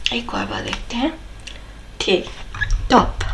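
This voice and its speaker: Noticeable background noise and audible room echo around a female speaker. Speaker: tarot card reader. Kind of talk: tarot reading. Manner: hesitant fillers.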